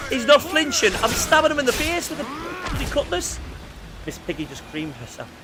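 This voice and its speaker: Music in the background behind a man speaking at a moderate pace. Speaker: gaming streamer. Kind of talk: casual gameplay commentary. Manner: animated.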